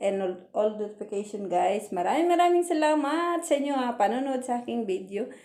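A woman's dark, mellow tone at a moderate pace. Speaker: overseas worker vlogger. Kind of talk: casual vlog. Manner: halting, many fillers.

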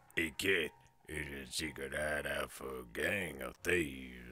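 In a put-on character voice, a man growls out raspy, very deep, low tones at a fairly slow pace.

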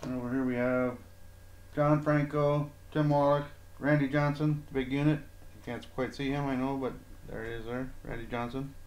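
The delivery is monotone and flat at a moderate pace, with audible room echo around it. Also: man. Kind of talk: casual show-and-tell narration. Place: home room. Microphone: phone near.

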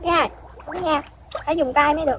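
A woman with a high pitch speaks at a fairly quick pace with fairly even intonation. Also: fairly bright tone.

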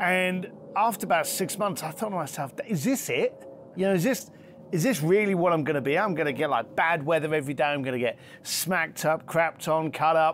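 Light background noise sits behind a man with a London accent and a high pitch. He speaks at a fairly quick pace with ordinary pitch variation. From East London, England. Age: 50s. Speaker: luxury concierge entrepreneur and author. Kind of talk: interview conversation. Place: garden.

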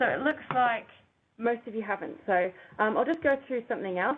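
A woman talks at a moderate pace in a high pitch. Light background noise can be heard. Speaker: educator presenting a webinar. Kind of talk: webinar presentation.

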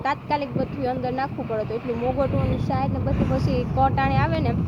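Noticeable background noise and audible room echo accompany a woman's speech. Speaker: village vlogger. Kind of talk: casual vlog narration.

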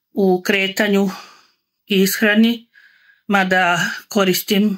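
In a monotone, flat intonation, a woman speaks at a medium pitch against a quiet background. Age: 60s. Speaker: customer giving a product testimonial. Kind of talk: testimonial talk to camera. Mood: calm, satisfied. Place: home room. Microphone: phone near.

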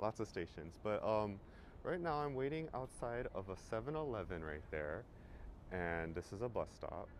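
Light background noise sits under a man's fairly low-pitched voice. His pitch swings very widely, and the sound is dry with no echo. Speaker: travel vlogger. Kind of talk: casual vlog chat. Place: street. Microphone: phone near.

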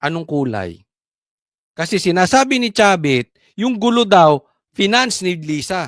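The delivery is at a fairly slow pace and is broken by long, frequent pauses. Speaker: political vlogger. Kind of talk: heated political rant. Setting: vlog recording.

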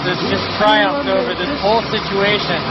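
A man speaks at a moderate pace, the sound dry with no echo. Loud background noise runs underneath. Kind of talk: mock news-style banter. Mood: amused, playful. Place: street. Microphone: phone near.

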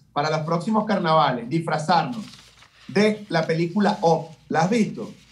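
Intonation is lively in this man's speech. He keeps a moderate pace. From Venezuela. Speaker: comedian, radio host. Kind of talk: interview answer. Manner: joking, playful. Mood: playful teasing. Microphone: video call.

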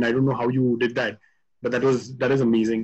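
A man speaks in a monotone with flat intonation against a quiet background. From India. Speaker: webinar moderator. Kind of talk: webinar interview. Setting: video call. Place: open country. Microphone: phone near.

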